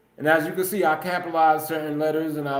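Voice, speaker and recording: Over background music and audible room echo, a man with a fairly high pitch talks at a very fast pace. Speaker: podcast host. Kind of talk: solo livestream monologue. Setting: live stream. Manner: loud; energetic.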